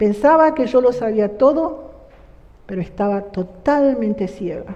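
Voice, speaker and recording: With a plain, everyday voice, a woman speaks at a fairly slow pace in a fairly high pitch with lively intonation. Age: 60s. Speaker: church member giving testimony. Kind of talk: testimony.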